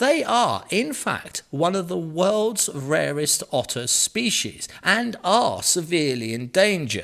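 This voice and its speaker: In an English accent, a man with a high voice talks at a very slow pace, with very wide pitch swings and hardly any pauses. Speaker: news presenter. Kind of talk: news reading. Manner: tongue-in-cheek.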